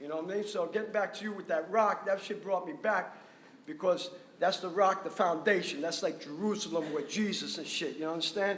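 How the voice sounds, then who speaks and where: Here a man speaks with a New York accent. His pitch is high and his pace fairly quick. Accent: New York City. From New York City, Washington Heights. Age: 60s. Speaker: graffiti artist. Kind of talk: panel discussion. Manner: loud; animated. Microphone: speaking without a mic.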